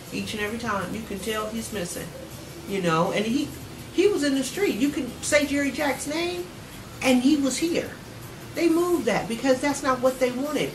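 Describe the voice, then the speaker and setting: With an American accent, a woman speaks at a moderate pace with very wide pitch swings, audible room echo and music in the background. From San Francisco, California. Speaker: youth agency founder. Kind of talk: TV interview.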